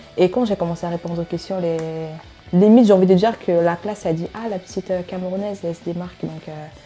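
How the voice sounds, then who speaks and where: The speech comes at a very fast pace with fairly even intonation, music playing in the background. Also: woman, medium pitch for a woman. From Cameroon. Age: 20s. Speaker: student. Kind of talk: interview. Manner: hesitant, many filler euh.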